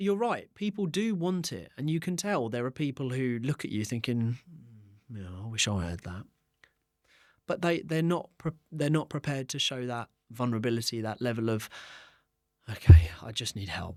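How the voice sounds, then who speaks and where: A man's medium-pitched voice with an English accent at a moderate pace, with very wide pitch swings, big swings in loudness, and long, frequent pauses, on a very clean recording with a silent background. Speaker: entrepreneur. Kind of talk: interview. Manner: animated.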